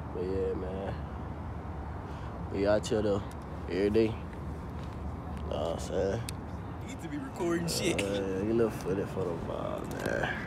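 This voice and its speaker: A man's voice with ordinary pitch variation, fairly slow and broken by long, frequent pauses, dry with no echo, over loud background noise. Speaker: vlogger. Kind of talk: casual vlog chat. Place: street. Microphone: phone near.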